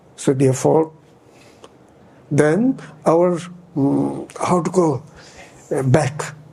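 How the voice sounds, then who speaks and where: Over noticeable background noise, a man with a fairly high pitch and ordinary pitch variation speaks very slowly, leaving long, frequent pauses. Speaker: Buddhist teacher. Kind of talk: dharma teaching. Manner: halting, searching for words.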